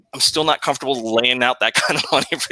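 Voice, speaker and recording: Dry and close with no echo, a man's medium-pitched voice has a bright, sharp tone, a slight Southern US accent and flat, monotone intonation. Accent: slight Southern drawl. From Texas. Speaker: podcast host. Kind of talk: casual chat.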